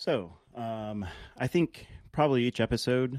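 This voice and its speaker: The speaker has an American accent. The intonation is lively. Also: man, dry, close sound with no echo. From Alaska (Anchorage). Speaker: podcast host. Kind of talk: casual monologue. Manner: halting, many fillers.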